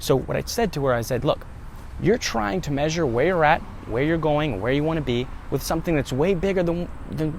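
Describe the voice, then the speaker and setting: A man speaks fairly quickly, his voice carrying audible room echo. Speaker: self-help vlogger. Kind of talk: motivational talk. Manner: fast.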